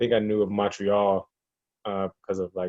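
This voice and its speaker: A man with a Kentucky accent speaks in a fairly low pitch with monotone, flat intonation. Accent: US Southern (Kentucky) American. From Kentucky, small town. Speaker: American football coach. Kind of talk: casual interview.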